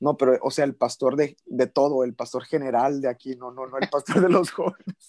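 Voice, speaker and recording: This man has an ordinary speaking voice at a fairly high pitch. The sound is dry and close, with no echo. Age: 20s. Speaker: pastor. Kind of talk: interview.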